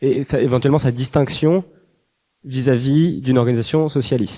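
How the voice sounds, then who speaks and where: A man's voice, dark and mellow in tone, sits at a fairly high pitch. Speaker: audience member asking a question. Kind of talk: audience question. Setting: conference hall with audience.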